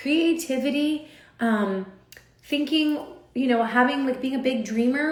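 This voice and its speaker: A woman speaks loudly and with an animated tone at a high pitch with ordinary pitch variation. Audible room echo is present. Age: 40s. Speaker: social media influencer. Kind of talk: motivational talk on a livestream.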